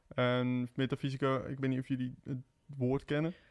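In front of a quiet background, a man of medium pitch speaks at a moderate pace in a plain, everyday voice. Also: dry, close sound with no echo. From southern Netherlands, Eindhoven. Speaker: singer-songwriter, conservatory student. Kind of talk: casual chat.

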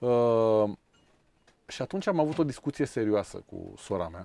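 A man has an unremarkable speaking voice at medium pitch, speaking at a moderate pace with lively intonation. The very clean recording has a silent background and a dry, close sound with no echo. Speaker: sailing school founder and former lawyer. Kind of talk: interview.

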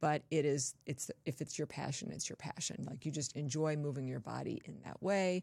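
In a very clean recording with a silent background, a woman with an American accent and a very deep, low pitch talks with hardly any pauses, vocal fry and ordinary pitch variation. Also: moderate pace. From Southern California (Torrance, Los Angeles area). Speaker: physician, hypermobility specialist. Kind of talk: interview. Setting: in-person studio.

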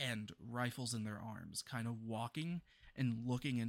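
The intonation holds fairly even. Throughout, the speaker is reading aloud in a natural voice.

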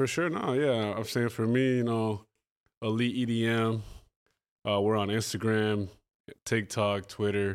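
With a Spanish accent, a man speaks at a medium pitch and fairly slow pace, leaving long, frequent pauses. His intonation is fairly even, his loudness very even, and the recording very clean with a silent background. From Colombia. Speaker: EDM event promoter. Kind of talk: casual chat. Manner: halting.

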